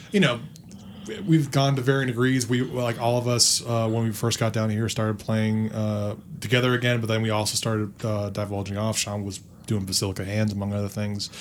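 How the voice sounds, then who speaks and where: A normal speaking voice, a man's, fairly low in pitch and fairly quick, with fairly even intonation. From Northern Virginia. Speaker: rock band guitarist and singer. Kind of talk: casual chat.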